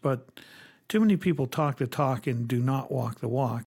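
On a very clean recording with a silent background, a man speaks at a moderate pace in a medium-pitched, somewhat breathy voice. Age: 60s. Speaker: bank CEO. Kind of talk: interview discussion on banking policy.

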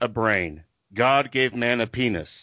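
A man speaks at a medium pitch with a slight Southern US accent. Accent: slight Southern twang. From Tulsa, Oklahoma. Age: 50s. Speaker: Patreon fan, former minister. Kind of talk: casual chat about a TV show.

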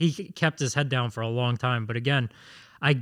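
Against a silent background in a very clean recording, a man talks at a fairly quick pace in an unremarkable speaking voice with ordinary pitch variation. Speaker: producer reading listener questions.

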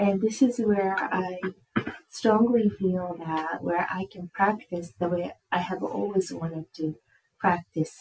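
Speaking with a Japanese accent, a woman uses a medium pitch and ordinary pitch variation at a very slow pace. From Japan, Tokyo. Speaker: director of field education in social work. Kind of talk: casual interview.

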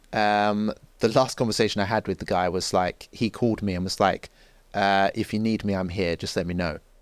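Recorded very cleanly with a silent background, a man with a London accent speaks at a fairly quick pace in a fairly low pitch with fairly even intonation. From North London, England (Enfield). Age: 30s. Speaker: journalist and social commentator. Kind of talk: podcast interview.

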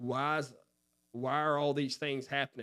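A man with a fairly high pitch uses a normal speaking voice at a moderate pace and fairly even intonation. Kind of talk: Bible study discussion, asking questions.

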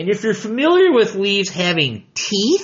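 Speaking with an American accent, a man lets his pitch swing very widely. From Michigan, US. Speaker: outdoor educator and biologist. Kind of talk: educational talk.

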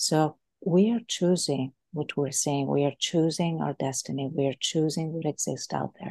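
A woman with a Greek accent speaks at a moderate pace in a very deep, low pitch with ordinary pitch variation. Her tone is dark and mellow, and the sound is dry and close with no echo. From Greece. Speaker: leadership coach. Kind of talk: interview.

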